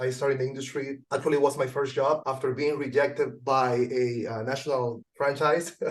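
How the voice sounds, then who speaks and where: A man talks with a Venezuelan accent at a moderate pace. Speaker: junk removal business owner. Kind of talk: interview.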